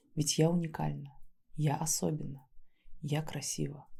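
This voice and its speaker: Soft-spoken and gentle in tone, a woman talks at a moderate pace with a very deep, low pitch, a dark, mellow tone and vocal fry. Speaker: ASMR creator and neuro-body therapist. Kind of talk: soft reflective talk to camera. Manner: soft-spoken, gentle.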